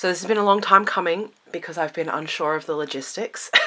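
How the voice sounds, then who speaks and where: A woman with an Australian accent has a bright, sharp tone, a fairly low pitch and fairly even intonation. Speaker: witchcraft content creator. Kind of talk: casual vlog talk. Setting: home library room.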